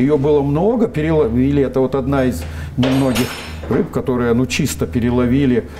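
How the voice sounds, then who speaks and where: A man's medium-pitched voice with lively intonation, very even loudness and a fairly quick pace, over noticeable background noise. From Russian Far East, Vladivostok. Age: 70s. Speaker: scientist, biotechnologist. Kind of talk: interview. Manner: hesitant, many filler sounds.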